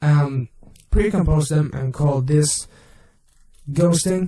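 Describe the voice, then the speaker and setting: This man has a fairly high, somewhat breathy voice with a dark, mellow tone. He speaks at a very slow pace with ordinary pitch variation. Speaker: video effects tutorial maker. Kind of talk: tutorial. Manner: halting, with self-corrections.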